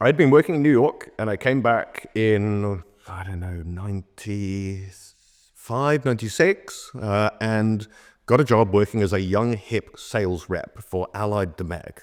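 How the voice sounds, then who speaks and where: On a very clean recording with a silent background, a man with a southern English accent speaks at a fairly low pitch, with ordinary pitch variation and big swings in loudness. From Oxford, England. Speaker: bartender and drinks consultant. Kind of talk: podcast interview answer. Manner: fast.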